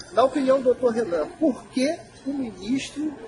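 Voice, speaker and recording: A man talks at a high pitch and a moderate pace. There is noticeable background noise. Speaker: association spokesperson. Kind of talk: association Q&A video. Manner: casual.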